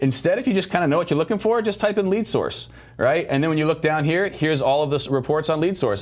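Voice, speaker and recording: Talking at a very fast pace, a man sounds animated, his intonation lively. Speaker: software product specialist. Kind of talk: product demo livestream. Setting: video livestream.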